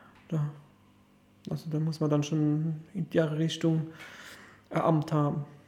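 Very slow and full of long, frequent pauses, this man's speech has a monotone, flat intonation. His pitch is fairly high and his tone dark and mellow. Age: 40s. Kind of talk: casual interview. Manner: halting, many fillers.

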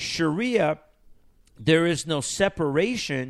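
A man speaks with a Persian accent at a very slow pace. His intonation is lively. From Iran. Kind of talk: radio talk show discussion.

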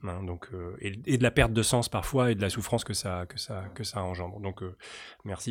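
A man speaks at a moderate pace with a fairly low pitch and fairly even intonation. The recording is very clean, with a silent background. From Paris region. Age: 40s. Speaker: urban policy academic. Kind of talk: interview. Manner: halting.

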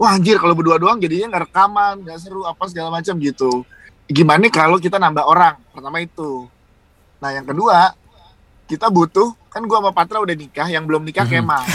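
Pitched high, a man talks at a very fast pace with ordinary pitch variation, in a dry, close sound with no echo. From Surabaya, East Java. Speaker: radio announcer and podcaster. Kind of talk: casual chat.

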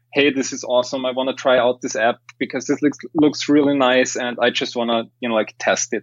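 Speaking with an Austrian accent, a man talks at a fairly quick pace in monotone, flat intonation. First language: German. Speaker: tech company CEO. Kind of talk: casual interview. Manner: halting with fillers.

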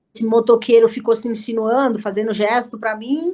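At a moderate pace, a woman with a normal speaking voice and a fairly high pitch talks with ordinary pitch variation. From Brazil, São Paulo ABC region (Santo André). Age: 30s. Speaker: jiu-jitsu athlete and instructor. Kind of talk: casual interview.

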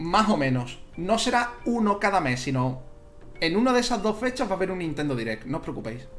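Against noticeable background noise and audible room echo, a man talks at a fairly quick pace in a high pitch with very wide pitch swings. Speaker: video game streamer and podcaster. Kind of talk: casual chat. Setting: live stream. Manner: animated, laughing.

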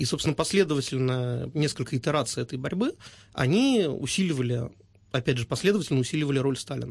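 A man speaks very fast in a fairly high voice with ordinary pitch variation. His tone is somewhat breathy. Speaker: political scientist and journalist. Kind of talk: radio interview.

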